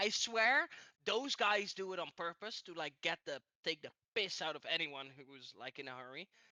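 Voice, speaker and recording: Moderately paced speech in a Dutch accent. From Netherlands. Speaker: podcast co-host. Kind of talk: casual chat. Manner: animated.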